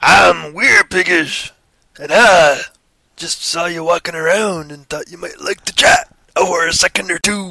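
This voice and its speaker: Putting on a raspy character voice, a man speaks high for a man at a moderate pace. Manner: friendly, flirtatious.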